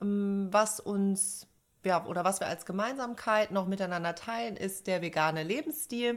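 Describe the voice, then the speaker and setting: A woman has an unremarkable speaking voice at a medium pitch. She talks at a fairly slow pace with ordinary pitch variation. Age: 30s. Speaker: podcast co-host, psychologist. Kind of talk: casual chat.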